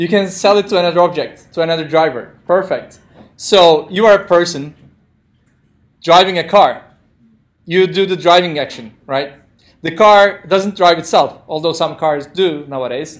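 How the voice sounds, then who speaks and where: A man with a non-native accent talks at a moderate pace in a high voice with ordinary pitch variation, leaving long, frequent pauses. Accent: non-native English speaker. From Turkey. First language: Turkish. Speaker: programming instructor. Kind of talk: lecture. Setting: classroom with live audience, streamed. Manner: interactive, conversational.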